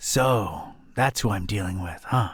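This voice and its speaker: In a raspy put-on character voice, a man speaks at a fairly slow pace and fairly low pitch. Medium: video game. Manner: dry, sardonic.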